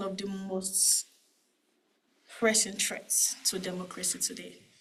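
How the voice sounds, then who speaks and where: A woman speaks at a fairly slow pace in a medium pitch. Some room echo can be heard. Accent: Nigerian. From Nigeria. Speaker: cyber security manager. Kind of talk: conference talk. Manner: quiet, asked to speak up.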